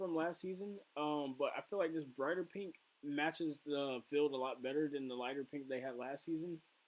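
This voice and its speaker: The man keeps a moderate pace. His intonation is lively. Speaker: F1 video creator. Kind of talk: casual video review. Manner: halting, many fillers.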